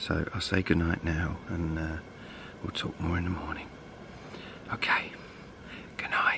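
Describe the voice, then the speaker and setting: A man's whisper in an English accent, fairly slow, with long and frequent pauses, over noticeable background noise. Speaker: bushcraft vlogger. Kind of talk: outdoor vlog. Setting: outdoors. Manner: quiet.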